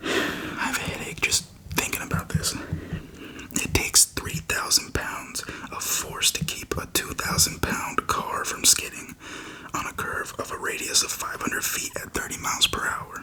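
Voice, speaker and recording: A man whispers at a moderate pace. Noticeable background noise runs behind him. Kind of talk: reading a textbook passage aloud. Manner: whispered, soft-spoken.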